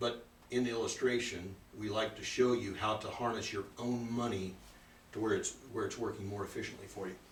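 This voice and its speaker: A man speaks at a fairly quick pace in a medium pitch, somewhat breathy. His intonation is monotone and flat, with audible room echo. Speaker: financial seminar presenter. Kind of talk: seminar presentation with Q&A. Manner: fast.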